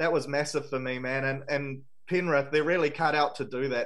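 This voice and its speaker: Here a man talks with a New Zealand accent at a fairly high pitch. He keeps a fairly quick pace with fairly even intonation. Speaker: sports podcast host. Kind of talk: casual sports chat.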